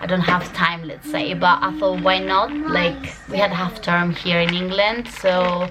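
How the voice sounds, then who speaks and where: Noticeable background noise sits behind a woman talking at a medium pitch. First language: Albanian. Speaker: vlogger. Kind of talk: casual vlog talk to camera. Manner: hesitant, many fillers.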